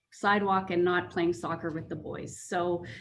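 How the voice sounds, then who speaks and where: A woman with a Canadian accent speaks at a moderate pace and medium pitch in a plain, everyday voice. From Canadian Prairies (small-town Manitoba and Saskatchewan). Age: 40s. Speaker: public service trainer. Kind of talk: panel introduction.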